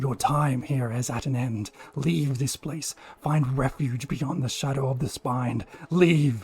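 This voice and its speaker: A booming, put-on character voice moves along at a fairly slow pace. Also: man, medium pitch for a man. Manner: commanding, threatening.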